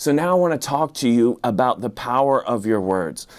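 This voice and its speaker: With lively intonation and a normal speaking voice, this man talks at a moderate pace. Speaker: pastor. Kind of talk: sermon.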